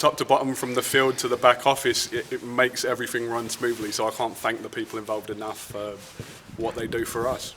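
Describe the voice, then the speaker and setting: Very fast, monotone, flat delivery against noticeable background noise. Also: man, medium pitch for a man. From London, England. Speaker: football club general manager. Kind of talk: interview. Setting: outdoors at training field.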